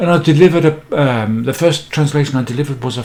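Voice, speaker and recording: Fairly high-pitched male speech with ordinary pitch variation, a fairly quick pace and noticeable background noise. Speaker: business coach and author. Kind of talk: talking-head advice video. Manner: casual, with hesitations and restarts.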